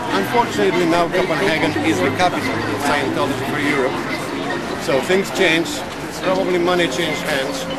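A man talking at a fairly quick pace over loud background noise. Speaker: ex-CIA agent, protest speaker. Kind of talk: protest speech. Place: street. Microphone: camera far.

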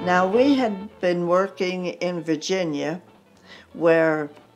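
Speaking at a very slow pace with an American accent, a woman uses a fairly low pitch and ordinary pitch variation over faint music in the background. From United States. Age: 80s+. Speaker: country singer. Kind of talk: interview answer. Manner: lively. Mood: lively, amused storytelling. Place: home room. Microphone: lapel.

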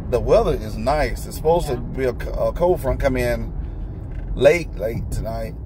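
The sound of this man's voice is dry, with no echo. Background noise can be clearly heard. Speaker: family vlogger. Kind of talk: casual vlog chat. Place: car. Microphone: phone near.

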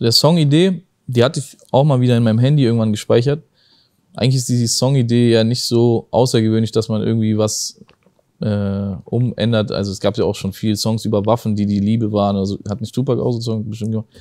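Talking at a very fast pace over a quiet background, a man has a dark, mellow tone and ordinary pitch variation. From southern Germany, near Stuttgart; southern Germany. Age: 20s. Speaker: rapper; guest. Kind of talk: casual interview. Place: studio. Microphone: lapel.

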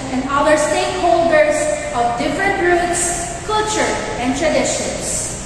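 A woman talks fairly slowly with ordinary pitch variation amid noticeable background noise and strong room echo. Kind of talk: formal ceremony speech. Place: church.

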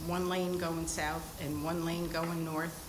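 Amid noticeable background noise and audible room echo, a woman with an American accent speaks at a fairly low pitch and a fairly slow pace. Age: 80s+. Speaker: resident speaking at public hearing. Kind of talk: public comment at town meeting. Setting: town hall meeting at microphone.

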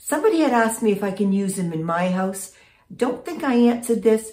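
A woman speaks against a quiet background. Her voice carries audible room echo. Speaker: vlogger. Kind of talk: casual vlog chat. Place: home room. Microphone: phone near.

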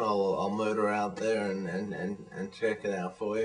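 A man's voice with noticeable background noise. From Australia (childhood partly in Malaysia). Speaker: vlogger. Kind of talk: casual video blog monologue. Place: home room. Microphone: webcam.

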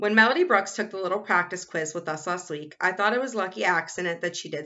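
Someone is reading aloud in a natural voice. The delivery stays simple throughout.

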